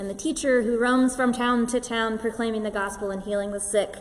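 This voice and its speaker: This woman's voice is fairly high, her intonation fairly even, and she talks fairly quickly with noticeable background noise around her. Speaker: pastor. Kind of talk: sermon delivered to a congregation.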